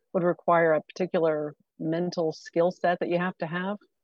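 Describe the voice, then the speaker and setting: A woman's normal speaking voice at a fairly low pitch and a fairly quick pace. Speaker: co-host, economic development director. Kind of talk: casual interview.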